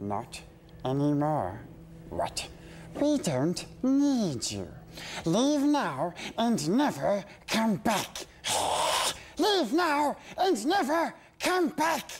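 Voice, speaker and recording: An extremely high-pitched put-on character voice from a man, very slow in pace, with long, frequent pauses. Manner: hissing, wheedling, agitated.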